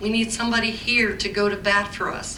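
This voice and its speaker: Amid noticeable background noise and audible room echo, a woman with an American accent speaks at a fairly high pitch. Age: 60s. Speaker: resident speaking at council meeting. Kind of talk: public comment at town council meeting. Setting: council meeting room. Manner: animated.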